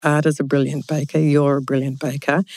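A woman with an Australian accent speaks at a moderate pace in a very deep, low pitch and a dark, mellow tone, recorded with a dry, close sound with no echo. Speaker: podcast host. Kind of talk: casual interview chat. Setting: studio, in person.

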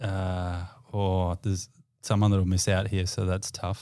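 A man speaks at a very slow pace in an Australian accent. His voice is very deep and low, with fairly even intonation. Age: 30s. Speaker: sports team high performance manager. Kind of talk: casual chat.

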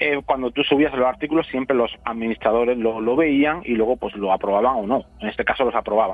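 With a plain, everyday voice, a man speaks at a fairly quick pace with hardly any pauses. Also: medium pitch for a man, ordinary pitch variation. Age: 40s. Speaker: keto diet educator. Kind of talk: interview.

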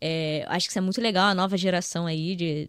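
A woman at medium pitch and a very fast pace, in a dry, close sound with no echo. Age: 20s. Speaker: front-end developer. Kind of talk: casual chat.

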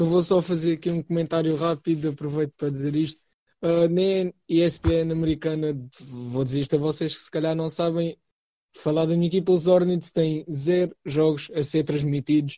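Here a man speaks with a European Portuguese accent, his voice fairly high-pitched yet dark and mellow in tone. His intonation is monotone and flat, at a moderate pace. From Portugal. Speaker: podcast guest. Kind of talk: casual chat. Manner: hesitant, many filler sounds.

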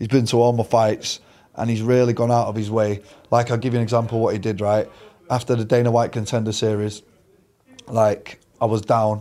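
A man with a Mancunian accent and medium pitch talks at a fairly quick pace in a monotone, flat intonation, with long, frequent pauses. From Manchester, England. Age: 30s. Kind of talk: casual interview.

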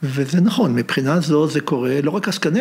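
Noticeable background noise sits behind a man speaking at a moderate pace. His voice is fairly high, with ordinary pitch variation. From Israel, Haifa. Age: 70s. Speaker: professor emeritus of Hebrew literature. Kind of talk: interview conversation.

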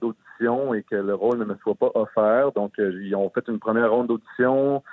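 A man speaks in a normal speaking voice at medium pitch. His pace is fairly slow and his intonation fairly even. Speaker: actor. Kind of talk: interview. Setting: phone call.

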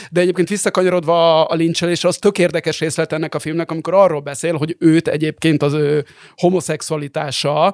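An ordinary speaking voice, a man's at a fairly high pitch with fairly even intonation, comes through in a dry, close sound with no echo. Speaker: podcast co-host. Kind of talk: casual chat.

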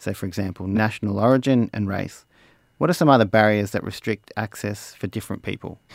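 With a strong Australian accent, a man speaks at a fairly quick pace and a fairly low pitch, using ordinary pitch variation in a dry, close sound with no echo. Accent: broad Australian. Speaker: mechanical engineer and interviewer. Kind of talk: interview.

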